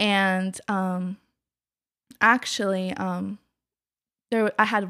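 A woman with an American accent and monotone, flat intonation, on a very clean recording with a silent background and a dry, close sound with no echo. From Kennett Square, Pennsylvania, Mexican family. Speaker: business consultant. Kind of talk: casual interview.

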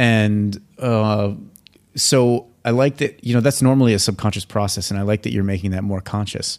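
On a very clean recording with a silent background, a man with a plain, everyday voice talks at a moderate pace and fairly low pitch with fairly even intonation. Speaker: podcast host. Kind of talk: casual interview chat.

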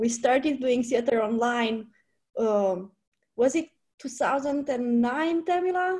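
Speaking very slowly, a woman uses a high pitch and lively intonation. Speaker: theater director. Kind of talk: casual interview. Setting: video call.

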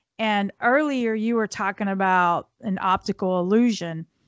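In an ordinary speaking voice, a woman speaks at medium pitch with fairly even intonation, the sound dry and close with no echo. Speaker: podcast co-host. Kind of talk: casual chat.

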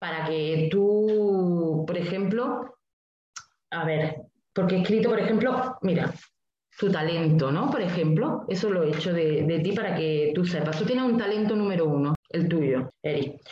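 Speaking at a fairly slow pace, a woman with a Spanish accent uses lively intonation. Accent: Peninsular Spanish. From Spain. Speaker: numerologist. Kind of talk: interview.

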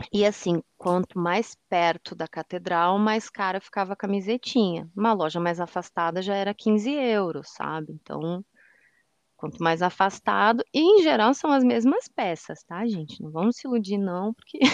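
Lively intonation at a moderate pace, dry and close with no echo, over a quiet background. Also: woman, medium pitch for a woman. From southern Brazil, Rio Grande do Sul. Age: 40s. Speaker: accessibility analyst and audio description consultant. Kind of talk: casual interview chat. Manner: animated.

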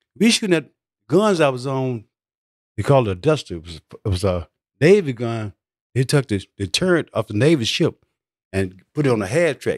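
In a very clean recording with a silent background and a dry, close sound with no echo, a man with a Southern US accent speaks with long, frequent pauses, big swings in loudness and very wide pitch swings. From US South. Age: 70s. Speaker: war veteran. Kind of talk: casual interview storytelling. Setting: studio.

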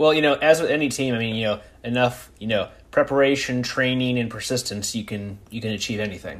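A man with an unremarkable speaking voice talks at a medium pitch and a fairly quick pace. His pitch shows ordinary variation. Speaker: podcast host. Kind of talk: casual interview chat.

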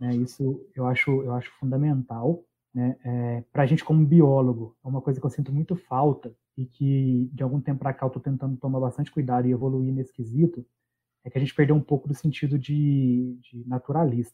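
This man's voice sits at medium pitch in a flat monotone. His pace is fairly quick. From Minas Gerais, Brazil. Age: 30s. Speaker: biologist and environmental consultant. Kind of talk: casual interview chat.

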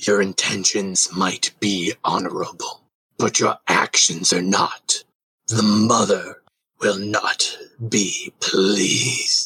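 Raspy and very slow, a man delivers his lines in a put-on character voice. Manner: accusing, cold, slow.

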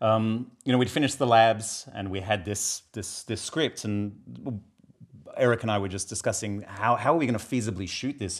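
Here is a man with an Australian accent. His fairly low voice moves at a moderate pace. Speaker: filmmaker and graphic novel author. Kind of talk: casual interview chat.

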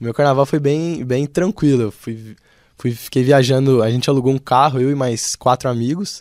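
Recorded very cleanly with a silent background and a dry, close sound with no echo, a man with a Brazilian accent speaks at a moderate pace with ordinary pitch variation. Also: medium pitch for a man. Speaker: engineering student. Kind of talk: radio interview.

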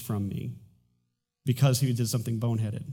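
Audible room echo surrounds a man talking at a very fast pace. His voice is medium in pitch, somewhat breathy, with a dark, mellow tone. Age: 40s. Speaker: pastor. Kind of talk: sermon. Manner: halting.

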